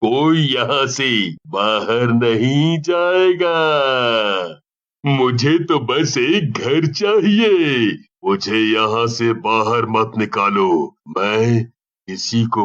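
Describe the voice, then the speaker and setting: In a cartoonish character voice, a man speaks at medium pitch. His pace is very slow. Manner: menacing.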